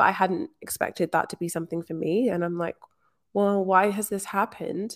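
A woman's medium-pitched voice at a fairly quick pace, with ordinary pitch variation and a dry, close sound with no echo. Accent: Scottish. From rural Scotland. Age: 20s. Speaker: manifestation coach. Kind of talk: interview.

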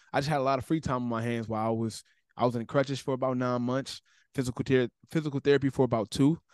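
A man speaks very fast with an American accent, his pitch medium and his intonation fairly even. The sound is dry and close with no echo, over a quiet background. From Cleveland, Ohio. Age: 20s. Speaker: content creator. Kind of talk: casual interview chat.

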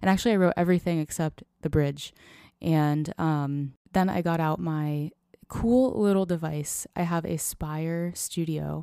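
This voice has a relaxed tone and a dark, mellow tone with an American accent. The pitch variation is ordinary. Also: woman, fairly low pitch for a woman, fairly slow pace. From US Florida. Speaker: singer-songwriter. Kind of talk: casual interview. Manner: relaxed, laid-back.

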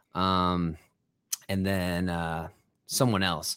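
A man with a very deep, low voice speaks in a flat monotone on a very clean recording with a silent background. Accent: American. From Ohio. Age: 20s. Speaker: musician. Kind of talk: casual chat.

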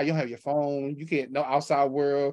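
The background is quiet. A man speaks at a fairly quick pace in a fairly high pitch. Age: 30s. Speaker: podcast host. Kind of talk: casual interview. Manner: animated.

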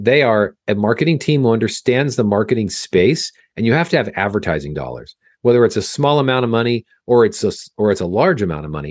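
A man with an American accent and a medium pitch talks at a very fast pace. His pitch swings very widely, and the sound is dry and close with no echo. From Southern California, Orange County. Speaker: film industry CFO and consultant. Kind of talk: interview.

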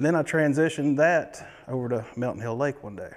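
This man speaks with a Tennessee accent. His pitch varies in an ordinary way. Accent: Southern US (Tennessee). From eastern Tennessee. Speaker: fishing guide. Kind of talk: interview.

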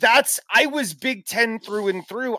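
An animated man with an American accent, high pitch and very wide pitch swings, his raised, projected voice bright and sharp in tone, at a moderate pace in a dry, close sound with no echo. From US Midwest, Chicago area. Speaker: sports radio host. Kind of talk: casual chat.

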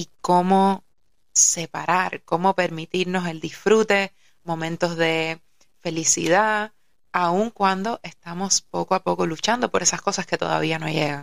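A woman with an unremarkable speaking voice talks at a fairly slow pace and a fairly low pitch, her intonation fairly even, the sound dry and close with no echo. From Cuba, Havana. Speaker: yoga teacher and musician. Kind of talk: casual chat.

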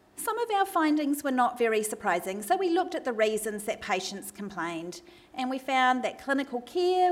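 Speaking at a fairly quick pace in a New Zealand accent, a woman uses a high pitch and very wide pitch swings over noticeable background noise. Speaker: medical researcher and doctor giving a talk. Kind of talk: academic lecture. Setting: stage with audience, microphone.

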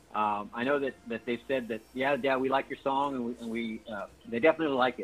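At a very fast pace, a man with an American accent talks at a medium pitch. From San Antonio, Texas. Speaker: Air Force member and Tejano musician. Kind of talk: interview. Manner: halting, repeats words.

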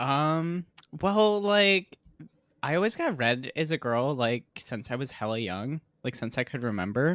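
A man with an American accent, fairly high-pitched, with very wide pitch swings and a fairly slow pace, on a very clean recording with a silent background. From US Midwest, Michigan (Holland). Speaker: adult film performer and producer. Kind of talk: casual chat. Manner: animated.

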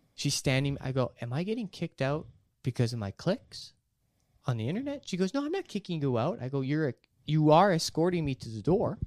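Fairly high male voice with a Canadian accent, lively intonation and a fairly quick pace, on a very clean recording with a silent background and a dry, close sound with no echo. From Canada. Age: 20s. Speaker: comedian. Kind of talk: casual chat. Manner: animated.

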